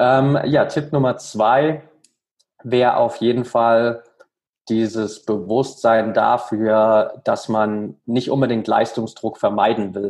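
A man's medium-pitched voice at a very slow pace with fairly even intonation. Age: 30s. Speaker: mental coach for athletes. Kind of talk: interview.

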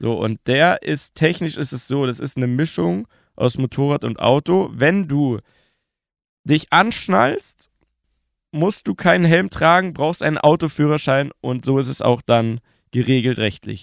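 A very clean recording of a man at a fairly slow pace, the background silent. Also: lively intonation, dry, close sound with no echo. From Bavaria, Munich. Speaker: TV presenter and podcaster. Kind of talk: casual chat. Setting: podcast studio in a tavern.

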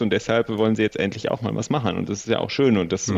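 A man in a normal speaking voice, medium pitch, fairly even intonation. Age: 30s. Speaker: sustainability consultant. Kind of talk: interview.

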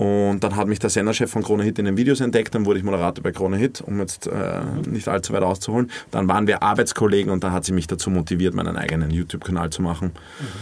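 The talking is very fast, with fairly even intonation. Noticeable background noise runs underneath. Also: man, fairly low pitch for a man. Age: 20s. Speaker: influencer and radio presenter. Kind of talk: casual chat.

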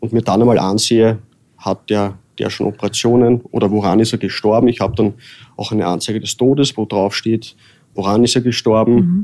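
A man's medium-pitched voice with a dark, mellow tone, fairly even intonation and a fairly quick pace. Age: 30s. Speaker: undertaker and embalmer. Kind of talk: interview. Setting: in person, office building. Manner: halting.

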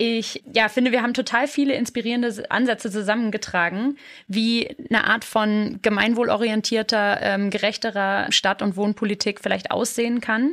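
A woman talks at a moderate pace with hardly any pauses, in a plain, everyday voice. Her pitch is fairly high, her intonation fairly even and her loudness very even. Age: 30s. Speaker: podcast host and urban sociologist. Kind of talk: interview conversation; scripted narration. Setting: studio.

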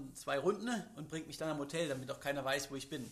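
The speaker talks at a fairly quick pace in a plain, everyday voice. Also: man. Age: 30s. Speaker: extreme athlete. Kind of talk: interview. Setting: studio. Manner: many filler sounds.

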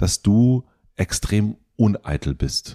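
A man speaks with a fairly low pitch. His tone is dark and mellow. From former East Germany. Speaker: podcast host. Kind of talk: casual interview.

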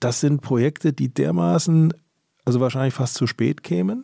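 Over a silent background in a very clean, dry, close recording with no echo, a man speaks at a moderate pace with a medium pitch and a dark, mellow tone. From Frankfurt area, Germany. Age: 50s. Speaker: automobile club executive. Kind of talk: interview and studio debate.

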